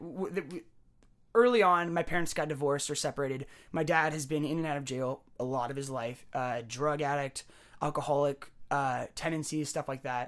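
With an American accent, a man speaks at a moderate pace and with ordinary pitch variation on a very clean recording with a silent background. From San Jose, California. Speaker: musician. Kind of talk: casual chat.

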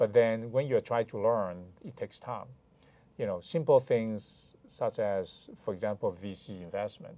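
This man speaks at a fairly slow pace with a Chinese accent and a dark, mellow tone. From China (Hainan). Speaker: lawyer. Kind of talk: interview conversation. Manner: hesitant, frequent fillers.

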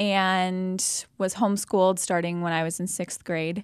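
Her tone is bright and sharp. The woman speaks with an American accent. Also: very clean recording, silent background. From US Midwest, Jefferson City, Missouri. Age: 20s. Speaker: nurse. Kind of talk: interview, faith testimony.

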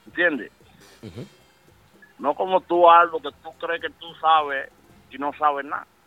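Music plays in the background as a man speaks at a fairly slow pace with long, frequent pauses. His fairly high voice keeps fairly even intonation but swings widely in loudness. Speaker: music industry insider. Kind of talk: casual chat. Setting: phone call.

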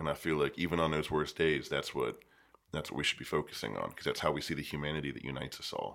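In an American accent, a man with a very deep, low pitch and vocal fry talks at a very fast pace with fairly even intonation. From western Pennsylvania, east of Pittsburgh. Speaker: poet and teacher. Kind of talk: casual interview chat. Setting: studio.

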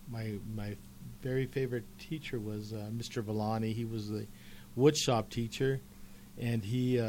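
Dark, mellow tone from a man with an American accent, medium pitch, fairly even intonation, moderate pace and long, frequent pauses. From Colorado, Commerce City. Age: 60s. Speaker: retired teacher and author. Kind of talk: casual interview chat. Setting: radio studio.

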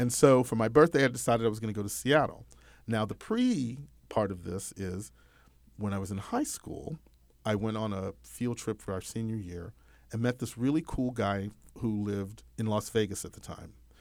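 Talking at a moderate pace, a man with an American accent uses a normal speaking voice, a fairly low pitch and ordinary pitch variation. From Texas, US. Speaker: comedian and podcast host.

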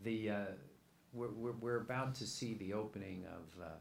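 A man speaks fairly slowly. Behind him, music plays. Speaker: moderator. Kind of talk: moderated Q&A. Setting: event with audience.

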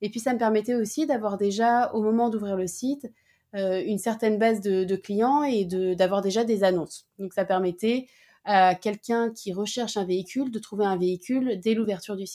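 Her tone is dark and mellow, and the woman's pitch sits fairly high. She keeps a moderate pace with ordinary pitch variation. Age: 30s. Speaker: startup founder. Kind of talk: interview.

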